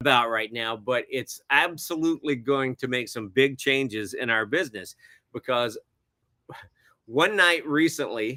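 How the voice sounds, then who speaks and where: A man with an American accent speaks at a fairly slow pace and medium pitch. His tone is bright and sharp, with ordinary pitch variation. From US South (Alabama). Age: 60s. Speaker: film director and cinematographer. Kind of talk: interview conversation. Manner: hesitant, many fillers.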